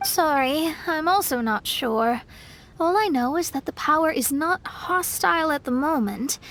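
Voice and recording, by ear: Putting on a character voice, a woman speaks with a high pitch and a fairly bright tone. Her pace is fairly slow and her intonation lively.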